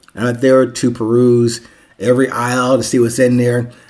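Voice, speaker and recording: At a moderate pace, a man speaks at medium pitch. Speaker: podcast host and author. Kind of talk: solo podcast monologue. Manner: rambling.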